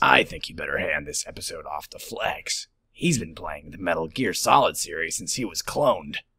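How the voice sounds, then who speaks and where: Using a raspy, put-on character voice, a man talks at a moderate pace with hardly any pauses. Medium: voice reel. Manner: terse, deadpan.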